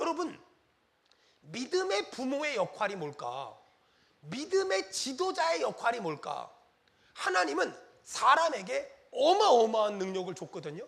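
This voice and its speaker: With an extremely high pitch and very wide pitch swings, a man talks at a fairly slow pace with long, frequent pauses in a room with audible echo. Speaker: pastor. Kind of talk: sermon. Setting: church. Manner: animated.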